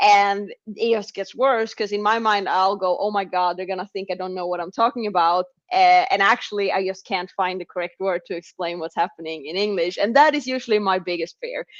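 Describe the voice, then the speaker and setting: Speaking at a medium pitch with ordinary pitch variation, a woman keeps a fairly quick pace with hardly any pauses. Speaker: drag racer. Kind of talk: interview.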